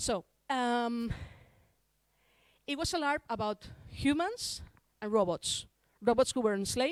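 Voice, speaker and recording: In a dry, close recording with no echo and a silent background, a woman with a Spanish accent speaks fairly slowly at a fairly high pitch with lively intonation. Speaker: larp designer and conference speaker. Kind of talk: conference talk. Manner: halting, with restarts.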